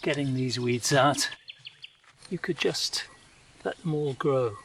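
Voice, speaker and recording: With a British accent, a man talks at a fairly slow pace in a fairly high pitch amid noticeable background noise. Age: 70s. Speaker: vlogger. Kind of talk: personal video diary narration. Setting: outdoors in garden.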